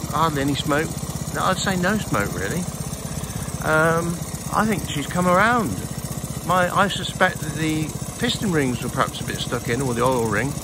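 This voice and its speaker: Noticeable background noise sits under long, frequent pauses in a dry recording with no echo. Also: moderate pace. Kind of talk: casual vlog chat. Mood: pleased, relaxed. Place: open country. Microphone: phone near.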